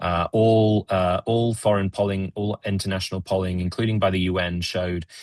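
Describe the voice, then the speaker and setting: Speaking with a British accent, a man uses a very deep, low pitch and a monotone, flat intonation at a moderate pace with hardly any pauses, in a dry, close sound with no echo and a quiet background. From Britain. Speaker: Middle East policy analyst. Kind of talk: webinar discussion. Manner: halting, many fillers and repetitions.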